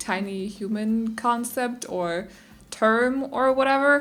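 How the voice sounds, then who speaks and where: Speaking with a Danish accent, a woman uses a fairly high pitch and ordinary pitch variation. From Denmark. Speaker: gaming YouTuber. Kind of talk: casual gameplay voiceover. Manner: chatty, rambling with fillers.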